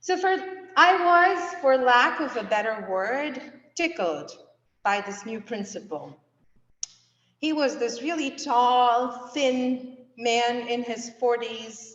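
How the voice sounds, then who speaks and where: A woman speaks with lively intonation and a high pitch. Her pace is very slow, and the room echo is audible. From India. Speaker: seminary student and guest preacher. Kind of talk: sermon. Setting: church.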